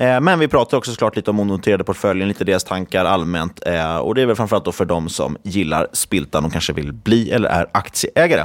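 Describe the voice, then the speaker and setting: The speech runs at a very fast pace with hardly any pauses. Its intonation is lively. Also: man, fairly low pitch for a man. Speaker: podcast host. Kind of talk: interview.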